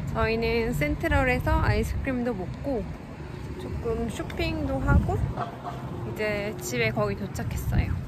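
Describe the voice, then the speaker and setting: A woman at a fairly slow pace with long, frequent pauses, loud background noise, and a dry sound with no echo. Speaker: vlogger. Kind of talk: casual vlog chat. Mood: relaxed cheerful. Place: street. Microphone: phone near.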